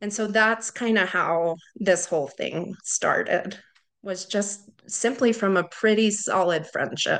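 A woman speaks at a very slow pace. Her medium pitch carries fairly even intonation. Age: 30s. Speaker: widowed mother. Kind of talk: interview.

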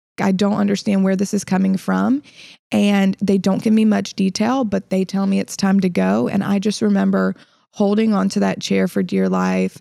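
A woman with a slight Southern US accent, moderate pace, and a dry, close sound with no echo. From Illinois and South Carolina. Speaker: podcast host, fitness coach. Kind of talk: casual conversational podcast.

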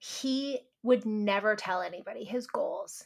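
A woman with a Canadian accent speaks in a bright, sharp, animated tone. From Canada. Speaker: podcast host and nutritionist. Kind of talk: podcast interview.

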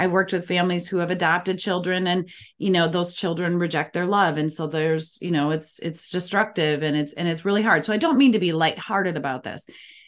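This woman talks very fast in a fairly low pitch with an Upper Midwest accent. She barely pauses at all. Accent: Upper Midwest American. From Minnesota, US Midwest. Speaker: parenting coach. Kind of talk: interview.

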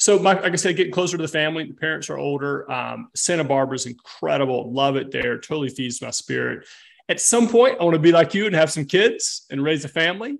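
Over a quiet background, the speaker rushes along at a very fast pace with lively intonation and hardly any pauses. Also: man, fairly high pitch for a man. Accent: Southern US. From US South. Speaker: fitness coach. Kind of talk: casual chat.

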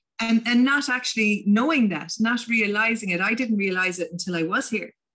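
A woman speaks in a Munster Irish accent with a bright, sharp tone. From Ireland, County Limerick. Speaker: tourism business founder and coach. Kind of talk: casual interview chat.

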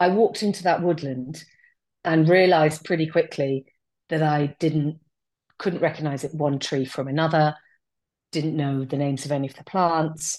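A woman with a southern English accent speaks at a moderate pace in a very deep, low pitch. Her intonation is fairly even, with long, frequent pauses, against a quiet background. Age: 40s. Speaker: outdoor nature business owner. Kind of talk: casual interview chat.

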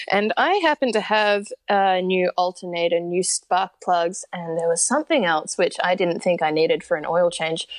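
With an Australian accent and a medium pitch for a woman, she talks at a moderate pace with hardly any pauses and ordinary pitch variation, in a dry, close sound with no echo over a quiet background. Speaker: long-distance horseback rider and mental health advocate. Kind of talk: interview. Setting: remote call. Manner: animated.

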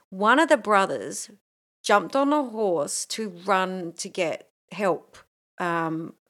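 A woman with an Australian accent speaks very slowly at a medium pitch, with long, frequent pauses. Her intonation is lively, and the recording is very clean, with a silent background. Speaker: podcast co-host. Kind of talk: casual chat. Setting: home recording. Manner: animated.

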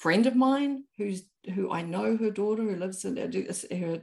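Using vocal fry, a woman with a New Zealand accent speaks at a moderate pace and medium pitch. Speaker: author and anthropologist. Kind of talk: casual interview chat.

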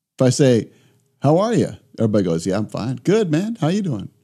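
A man's medium-pitched voice with a dark, mellow tone and vocal fry, very wide pitch swings, and a fairly quick pace. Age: 60s. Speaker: disaster response physician and speaker. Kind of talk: casual chat. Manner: animated.

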